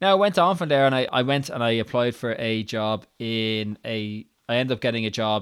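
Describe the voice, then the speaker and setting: With an Irish accent, the speaker keeps a moderate pace and hardly pauses. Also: man. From Ireland. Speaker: podcaster. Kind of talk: solo podcast monologue, personal storytelling. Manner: casual, conversational, some hesitations.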